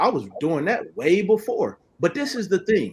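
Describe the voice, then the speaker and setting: With music in the background, a man with an American accent speaks in an animated tone at a fairly slow pace. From US South, Oklahoma City east side. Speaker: credit repair and debt collection consultant. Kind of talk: podcast interview. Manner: animated, repetitive.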